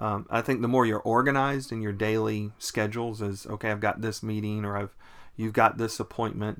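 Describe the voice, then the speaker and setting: A man with an American accent has a normal speaking voice and a fairly low pitch. His intonation is fairly even, and his pace is moderate. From US South, Raleigh, North Carolina. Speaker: pastor. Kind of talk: casual chat.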